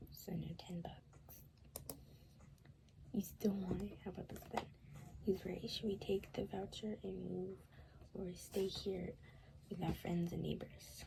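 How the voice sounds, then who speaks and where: The voice is soft-spoken, at a fairly slow pace. Long pauses come often. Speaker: gaming video creator. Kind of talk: let's play commentary. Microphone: quiet recording.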